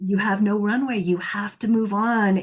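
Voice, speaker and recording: A somewhat breathy woman at a medium pitch, fairly slow and with fairly even intonation, against a quiet background. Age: 60s. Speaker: divorce coach and podcast host. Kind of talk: interview conversation.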